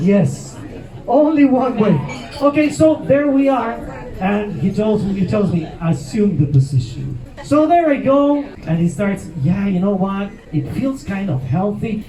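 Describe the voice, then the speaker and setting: Over noticeable background noise and audible room echo, a man speaks fairly slowly with a Mexican accent. His pitch is high, with very wide swings. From Mexico. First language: Spanish. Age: 50s. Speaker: comedian. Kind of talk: stand-up.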